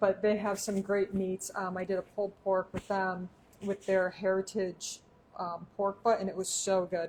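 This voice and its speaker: With a Michigan accent, the speaker goes at a moderate pace in a monotone, flat intonation. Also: woman, medium pitch for a woman. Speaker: cooking show host. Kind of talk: live cooking demonstration. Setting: home kitchen, back door open.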